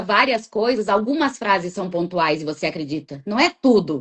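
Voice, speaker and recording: A woman is speaking. Her pitch swings very widely. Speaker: therapist. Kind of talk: casual interview chat. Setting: live video stream. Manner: talkative, chatty.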